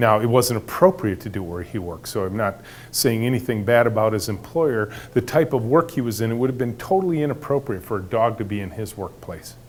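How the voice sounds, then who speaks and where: In an ordinary speaking voice, a man talks at a fairly quick pace with lively intonation and a medium pitch. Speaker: company founder giving a talk. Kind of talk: talk to an audience.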